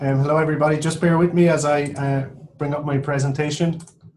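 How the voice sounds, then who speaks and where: The speaker has an Irish accent and moves at a fairly quick pace. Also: man. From Ireland, Athlone (midlands). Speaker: professor. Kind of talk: webinar lecture. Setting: online webinar.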